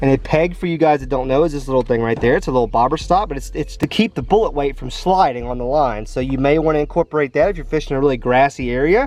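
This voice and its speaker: Talking at a very fast pace, a man speaks with a fairly high pitch. Noticeable background noise runs underneath. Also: ordinary pitch variation. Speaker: fishing YouTuber. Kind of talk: casual vlog narration while fishing; tutorial. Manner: loud; animated.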